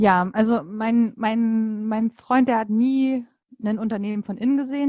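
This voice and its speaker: Dry and close with no echo, a woman's voice sits fairly high in pitch. She keeps a moderate pace and fairly even intonation. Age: 30s. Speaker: coach and mother. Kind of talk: casual interview. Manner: hesitant with many fillers.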